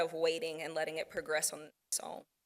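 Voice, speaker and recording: A woman speaks with an American accent. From United States. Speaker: audiologist presenter. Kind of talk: Q&A at conference session. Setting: conference breakout session with audience.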